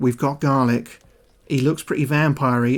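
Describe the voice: The pitch barely wanders, staying fairly even. It is plain reading aloud.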